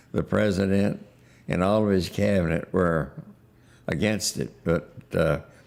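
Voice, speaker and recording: A man talks fairly slowly in a very deep, low voice with vocal fry. His loudness stays very even, and he leaves long, frequent pauses. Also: ordinary pitch variation. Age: 90s. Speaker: war veteran. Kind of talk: testimony. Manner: halting.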